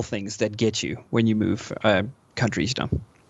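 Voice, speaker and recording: With a slight South African accent, a man talks at a fairly quick pace. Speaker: gamer, podcast interviewee. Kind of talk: podcast interview. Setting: live online podcast recording. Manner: hesitant, many fillers.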